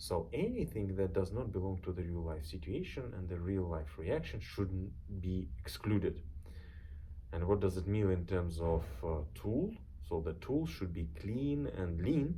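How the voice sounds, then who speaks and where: A man speaks at a fairly slow pace in a very deep, low voice with a dark, mellow tone, somewhat breathy, with ordinary pitch variation and audible room echo. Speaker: software tool creator. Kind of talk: reading a script aloud.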